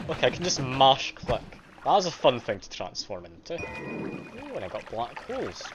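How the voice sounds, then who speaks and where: With a slight Scottish accent, a man speaks at a moderate pace with big swings in loudness over noticeable background noise. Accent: mild Scottish. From Scotland. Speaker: game streamer. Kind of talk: live gameplay commentary. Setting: live stream. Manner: casual.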